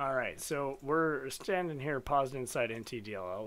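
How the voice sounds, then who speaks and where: The background is silent and the recording very clean. A man does the talking. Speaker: reverse engineering streamer. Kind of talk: live-streamed tutorial. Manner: fast; casual.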